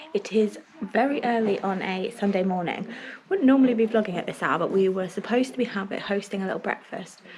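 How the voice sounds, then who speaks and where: A woman whispers at a very fast pace with a southern English accent over noticeable background noise. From England. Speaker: family vlogger. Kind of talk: casual vlog talk. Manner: whispering.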